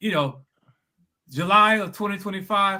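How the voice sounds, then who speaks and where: In a raised, projected voice, a man speaks at a moderate pace with a high pitch, a bright, sharp tone and ordinary pitch variation. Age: 70s. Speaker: spiritual bodybuilding coach. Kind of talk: testimony. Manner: halting, repeats words.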